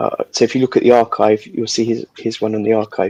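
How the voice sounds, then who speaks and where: Over a dry, close sound with no echo, a man speaks softly. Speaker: livestream host of guitar builders chat. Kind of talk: casual chat. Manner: soft-spoken.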